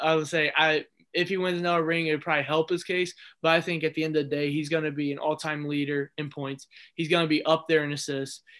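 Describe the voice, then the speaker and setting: Very fast and monotone, a man talks with an American accent and flat intonation. His tone is bright and sharp, and his pitch fairly high. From Ohio, near Cleveland. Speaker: sports writer and college student. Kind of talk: casual chat.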